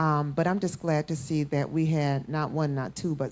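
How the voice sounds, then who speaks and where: A woman with a rural Southern US accent speaks at a moderate pace, her very deep, low voice dark and mellow. Her intonation stays fairly even, and the recording is very clean with a silent background. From US South, Florida. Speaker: panelist, mother. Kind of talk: panel discussion.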